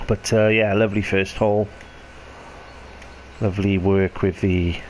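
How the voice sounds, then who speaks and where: A quiet voice with monotone, flat intonation speaks at a moderate pace over noticeable background noise. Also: man, fairly low pitch for a man. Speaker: video game commentator. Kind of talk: gameplay commentary.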